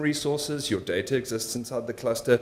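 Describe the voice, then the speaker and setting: A man is speaking at a fairly quick pace. His intonation stays fairly even. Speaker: conference speaker, machine learning engineer. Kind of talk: conference talk. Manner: fast.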